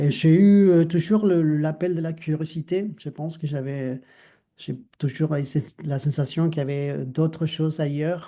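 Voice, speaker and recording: Speaking at a fairly slow pace, a man with an Argentine accent has a fairly high pitch and a dark, mellow tone that is somewhat breathy. His intonation is fairly even, and the background is quiet. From Argentina, Mar del Plata. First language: Spanish (speaking French). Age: 50s. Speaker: dancer and choreographer. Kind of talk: interview conversation. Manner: halting, many fillers.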